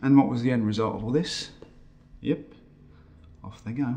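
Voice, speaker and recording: Somewhat breathy male speech at a fairly quick pace with ordinary pitch variation. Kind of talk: dramatic monologue to camera. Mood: bitter, weary, emotional. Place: home room.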